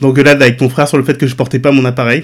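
Talking at a very fast pace, a man speaks in a medium pitch with monotone, flat intonation. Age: 40s. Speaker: web designer and content creator. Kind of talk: personal testimony. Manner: talkative.

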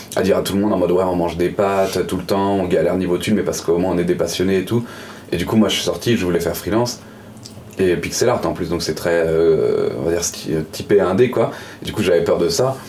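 Over noticeable background noise and audible room echo, a man with a very deep, low voice speaks very fast with ordinary pitch variation. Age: 20s. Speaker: pixel artist. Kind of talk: casual chat.

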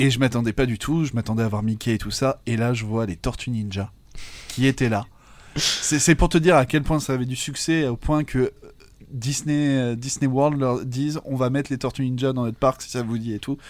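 At a moderate pace, a man talks in a normal speaking voice with fairly even intonation. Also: medium pitch for a man. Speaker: comics podcast co-host. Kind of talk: casual chat.

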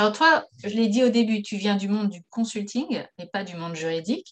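This woman has a plain, everyday voice. She speaks at a medium pitch with lively intonation. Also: big swings in loudness. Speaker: podcast host, former lawyer. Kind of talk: interview.

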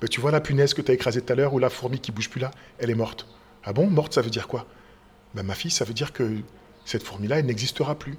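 A man talks at a very fast pace, broken by long, frequent pauses. His medium-pitched voice is somewhat breathy, with ordinary pitch variation. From Paris region, France. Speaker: school director and stage author-actor. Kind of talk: interview.

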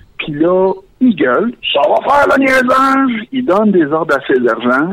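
Against noticeable background noise, a man speaks in a Quebec accent with very wide pitch swings. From Quebec, Valleyfield. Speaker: caller. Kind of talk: comedic call-in monologue. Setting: phone call.

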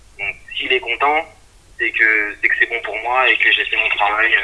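A man speaks at a moderate pace. Noticeable background noise is audible. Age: 40s. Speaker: IT technician. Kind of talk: casual interview. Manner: halting.

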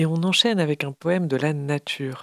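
The woman's pitch is very deep and low, and her intonation stays fairly even. She speaks at a fairly slow pace, with a dry, close sound and no echo. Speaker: radio host. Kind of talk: radio show presenting music and poetry.

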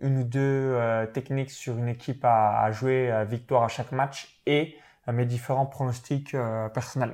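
The tone is dark and mellow, at a fairly slow pace. The recording is very clean, with a silent background. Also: man. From eastern France, Saône-et-Loire (near Chalon-sur-Saône). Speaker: professional sports bettor and online entrepreneur. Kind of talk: interview.

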